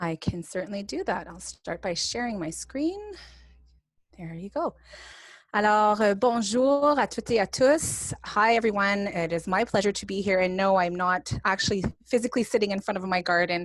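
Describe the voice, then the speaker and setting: Speaking in a Franco-Ontarian accent, a woman uses a medium pitch with ordinary variation at a moderate pace over a quiet background. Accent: Franco-Ontarian Canadian. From northern Ontario, Canada (francophone). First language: French. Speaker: professor and speech-language pathologist. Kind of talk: lecture.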